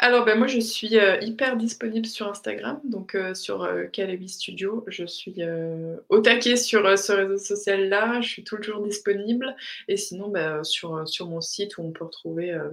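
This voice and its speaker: At a fairly slow pace, a woman speaks in a medium pitch with ordinary pitch variation and big swings in loudness. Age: 30s. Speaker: graphic designer and illustrator. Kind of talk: interview testimony. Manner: halting, many repetitions and fillers.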